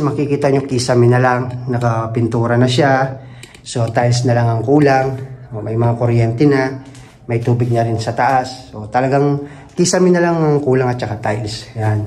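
Using ordinary pitch variation, a man speaks at a moderate pace. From Philippines. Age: 30s. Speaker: vlogger, overseas factory worker. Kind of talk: home tour vlog. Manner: casual, conversational. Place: home room. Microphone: phone near.

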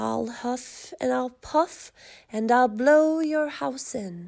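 Growling in a put-on character voice, a woman speaks slowly at a high pitch with vocal fry, a slightly mellow tone and ordinary pitch variation.

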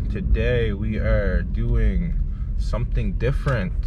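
A man is heard over loud background noise. The sound is dry with no echo. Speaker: vlogger. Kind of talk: casual vlog chat. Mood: joking, mildly irritated. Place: car. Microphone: phone near.

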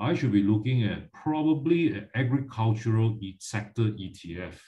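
The voice has a dark, mellow tone, somewhat breathy, with lively intonation. The background is quiet. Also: man. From Malaysia. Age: 50s. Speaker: finance educator. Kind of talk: lecture. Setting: video call. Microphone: video call.

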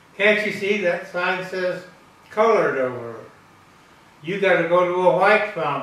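A man talks at a moderate pace, with room echo audible. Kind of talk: interview answer. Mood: reflective, anecdotal. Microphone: camera far.

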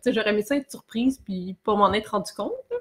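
In a Quebec accent, a woman talks at a moderate pace. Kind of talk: casual chat.

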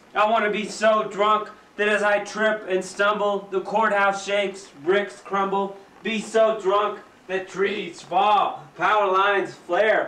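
Audible room echo fills the recording. A man talks at a very slow pace. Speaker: poet. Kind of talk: poetry reading. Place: home room. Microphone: old recording.

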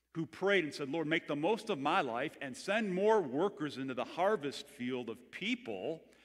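Very wide pitch swings mark this voice, heard at a moderate pace over a quiet background. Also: man. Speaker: pastor. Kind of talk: sermon. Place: church. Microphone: headset.

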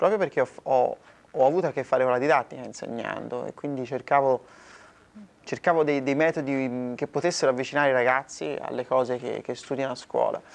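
Someone talks at a very fast pace with a slight Florentine accent. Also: man. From Italy, Florence; Italy. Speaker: singer-songwriter; interviewee. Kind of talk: interview. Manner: halting, many repetitions. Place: hall. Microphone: lapel.

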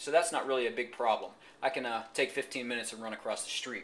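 Speaking very fast, a man rushes through his words. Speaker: fitness trainer. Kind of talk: casual vlog chat. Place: kitchen. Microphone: phone near.

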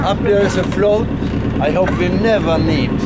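Over loud background noise, a man speaks at a very slow pace. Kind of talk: safety briefing to passengers. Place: boat. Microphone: phone near.

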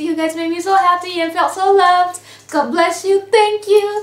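A woman speaks at a moderate pace with an extremely high pitch. Room echo is audible. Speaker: beauty vlogger. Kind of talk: casual vlog. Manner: animated. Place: home room. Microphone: webcam.

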